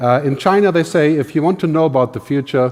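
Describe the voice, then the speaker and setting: With a German accent, a man talks at a fairly quick pace and with lively intonation. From Germany. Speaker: futurist, keynote speaker. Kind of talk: keynote talk.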